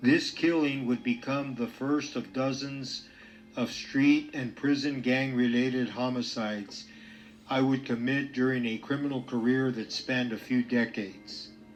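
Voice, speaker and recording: Man's fairly slow delivery at medium pitch, fairly even in intonation, with noticeable background noise. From East Los Angeles, US. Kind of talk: testimony.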